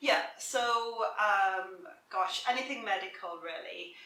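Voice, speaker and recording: A woman speaks in an Irish accent with fairly even intonation. Audible room echo is in the recording. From south of Ireland. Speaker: career coach. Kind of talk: interview.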